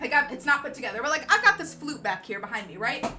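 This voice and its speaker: Over music in the background, a woman speaks at a very fast pace in a raised, projected voice, high-pitched and animated, her pitch swinging very widely. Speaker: DJ and livestream host. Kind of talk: livestream tutorial. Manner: loud.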